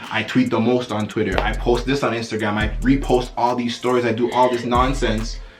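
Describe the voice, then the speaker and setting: With noticeable background noise and audible room echo, a man speaks in an animated tone at a fairly quick pace with hardly any pauses. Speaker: YouTuber, podcast co-host. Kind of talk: casual chat. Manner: animated, loud.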